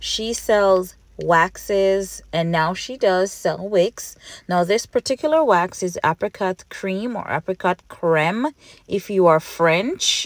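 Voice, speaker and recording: A woman with a slight Jamaican accent talks at a very slow pace, her pitch medium with ordinary variation. The sound is dry and close, with no echo. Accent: Jamaican Patois, mild. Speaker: candle maker, small business owner. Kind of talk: casual how-to voiceover.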